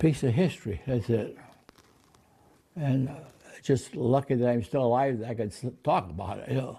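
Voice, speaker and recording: A man with an American accent, a dark, mellow tone and a somewhat breathy medium pitch, ordinary pitch variation, a moderate pace and long, frequent pauses. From Connecticut. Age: 80s+. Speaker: war veteran. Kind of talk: interview. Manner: halting.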